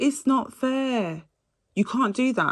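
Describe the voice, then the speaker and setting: A woman's animated tone in a very clean recording with a silent background. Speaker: astrology reader. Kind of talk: astrology reading monologue. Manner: fast.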